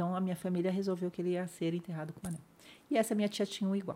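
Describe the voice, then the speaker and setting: Here a woman talks at a very fast pace. Her tone is dark and mellow, and somewhat breathy. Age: 50s. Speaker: spinal injury survivor sharing her story. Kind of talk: interview testimony.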